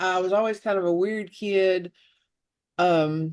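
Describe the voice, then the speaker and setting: A woman with an American accent speaks at a medium pitch. Her pitch varies in an ordinary way against a quiet background. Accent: Southern twang, downplayed at first. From US South, Oxford, Alabama. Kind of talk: interview. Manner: animated when excited.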